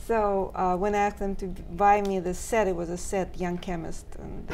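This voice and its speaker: In a Russian accent, a woman talks at a moderate pace. Her intonation is flat and monotone, with light background noise. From Russia (Moscow). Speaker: silk painting artist; talk show guest. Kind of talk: interview; interview answer. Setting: studio. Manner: halting. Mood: warm, amused reminiscing. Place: studio.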